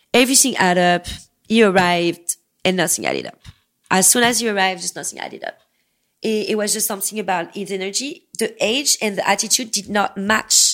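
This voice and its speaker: A woman's medium-pitched voice with a strong non-native accent, at a fairly quick pace and with ordinary pitch variation. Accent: thick foreign. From US-born. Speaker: escort. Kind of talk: casual chat. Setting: studio.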